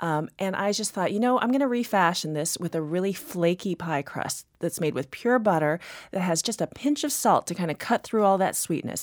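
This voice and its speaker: A woman with an American accent at medium pitch, a normal speaking voice with lively intonation, moderate pace and hardly any pauses, in a very clean, dry, close recording with a silent background and no echo. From Texas. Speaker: pastry chef and cookbook author. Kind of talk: interview. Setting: studio.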